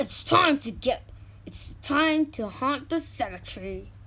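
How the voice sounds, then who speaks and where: A put-on character voice, pitched high, moves at a fairly slow pace. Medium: read story.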